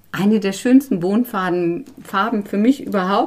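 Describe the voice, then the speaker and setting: A woman speaks at a very slow pace. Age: 50s. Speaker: bean seed conservationist. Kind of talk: interview. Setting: at the guest's home.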